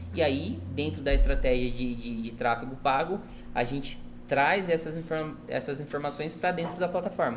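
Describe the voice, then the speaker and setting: A man's fairly high-pitched voice with lively intonation and audible room echo. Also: moderate pace. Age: 30s. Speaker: marketing agency owner. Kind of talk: casual chat. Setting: restaurant, in person.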